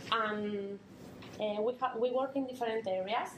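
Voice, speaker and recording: A woman's fairly high voice in a Spanish accent, at a moderate pace with fairly even intonation and audible room echo. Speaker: NGO volunteer presenter. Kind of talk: conference talk. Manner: halting.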